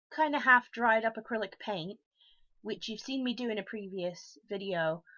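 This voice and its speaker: Here a woman speaks with an American accent at a fairly high pitch. Her pitch variation is ordinary. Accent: sounds American. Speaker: craft streamer. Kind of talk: crafting livestream show-and-tell. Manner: casual with frequent ums.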